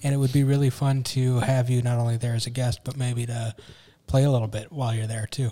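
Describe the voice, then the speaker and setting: A man with an American accent talks very fast at a medium pitch, with monotone, flat intonation. His tone is dark and mellow and somewhat breathy. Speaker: podcast co-host, business owner. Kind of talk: casual chat. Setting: studio.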